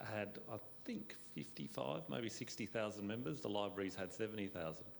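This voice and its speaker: This man has an Australian accent and a fairly low pitch. He goes at a fairly quick pace with ordinary pitch variation. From Australia, Italian migrant family. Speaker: panel guest. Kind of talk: panel discussion.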